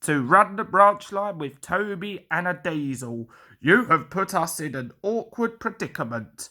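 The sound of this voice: Putting on a character voice, a man speaks high-pitched at a fairly slow pace, with a bright, sharp tone and lively intonation.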